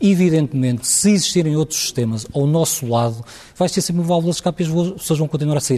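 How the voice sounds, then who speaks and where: At a very fast pace, a man speaks with a dark, mellow tone, a somewhat breathy quality, and ordinary pitch variation. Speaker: hospital administrators' association president. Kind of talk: televised panel debate.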